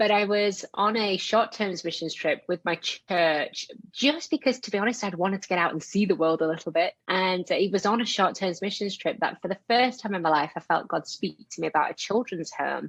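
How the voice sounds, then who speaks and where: At a fairly quick pace and with hardly any pauses, the voice shows ordinary pitch variation in a dry, close sound with no echo. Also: woman, medium pitch for a woman. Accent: strong Yorkshire. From northern England, Yorkshire. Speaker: missionary and author. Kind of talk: podcast interview.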